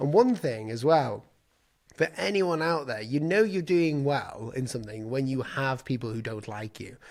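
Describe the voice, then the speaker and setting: With an English accent, a man talks in a lively, up-and-down intonation. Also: medium pitch for a man, moderate pace. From England. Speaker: designer and YouTuber. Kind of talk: casual chat.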